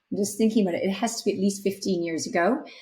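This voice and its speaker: Medium pitch for a woman, somewhat breathy, with ordinary pitch variation. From Canada. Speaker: startup CEO. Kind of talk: podcast interview.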